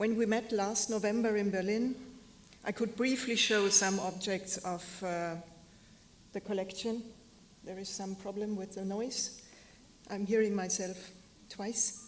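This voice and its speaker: A woman with a medium-pitched voice speaks slowly and flatly, in a monotone, leaving long, frequent pauses. The recording carries audible room echo and noticeable background noise. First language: German. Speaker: fashion historian and curator. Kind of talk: lecture. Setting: stage with audience. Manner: halting. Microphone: echo, hearing herself twice.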